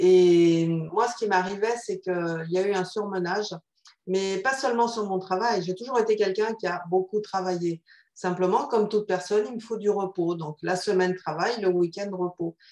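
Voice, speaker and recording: Moderate pace and fairly even intonation from a woman at medium pitch. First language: Spanish (speaking French). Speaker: psychotherapist. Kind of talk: interview.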